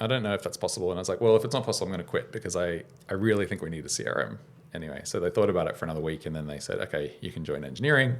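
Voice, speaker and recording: This man talks at a very fast pace. He has an Australian accent. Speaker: startup founder and software engineer. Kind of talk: podcast interview. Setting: studio.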